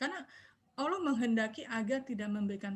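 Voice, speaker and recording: A woman talks at a very fast pace with a somewhat breathy voice. Her pitch varies in an ordinary way. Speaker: Islamic religious teacher. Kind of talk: online religious study talk. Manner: quiet. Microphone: too quiet, far from mic.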